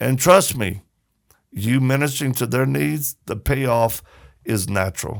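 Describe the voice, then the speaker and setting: A man talks at a fairly slow pace. His voice carries vocal fry. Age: 60s. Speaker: ministry founder and humanitarian. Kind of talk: casual chat. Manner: animated.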